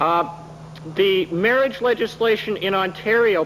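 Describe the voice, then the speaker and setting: Noticeable background noise beneath a male voice with ordinary pitch variation. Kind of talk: formal testimony to a parliamentary committee. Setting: committee hearing room, archival 1980 recording.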